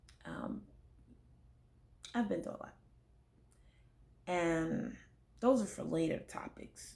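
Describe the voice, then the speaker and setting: A woman speaks at a very slow pace with long, frequent pauses, her medium-pitched voice dark and mellow with vocal fry. Her intonation is lively, and audible room echo surrounds her. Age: 30s. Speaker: vlogger sharing personal testimony. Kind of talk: testimony. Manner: serious; halting, many fillers.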